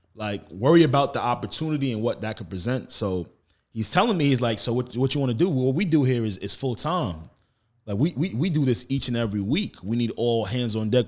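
Heard on a very clean recording with a silent background, a man with a New York accent speaks at a fairly quick pace with lively intonation. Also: medium pitch for a man. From Long Island, New York. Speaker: podcaster. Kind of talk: casual chat. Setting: studio.

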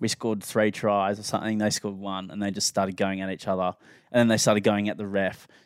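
A man with an Australian accent talks very fast in a fairly low, flat monotone, his dry, close sound free of echo on a very clean recording with a silent background. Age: 20s. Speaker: podcast co-host. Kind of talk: casual chat.

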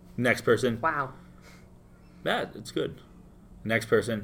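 Fairly slow male speech in an American accent, with long, frequent pauses and big swings in loudness. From Florida, US. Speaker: bartender. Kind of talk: casual interview. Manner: casual, filler-heavy.

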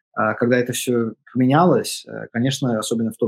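His voice has a medium pitch. It belongs to a man. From California, US. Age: 30s. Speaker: composer. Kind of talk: interview. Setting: remote call. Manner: halting.

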